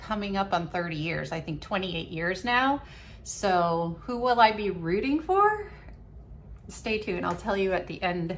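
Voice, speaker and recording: With audible room echo around her, a woman speaks at medium pitch with ordinary pitch variation. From New England. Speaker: video diarist, living kidney donor. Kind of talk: video diary. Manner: slow.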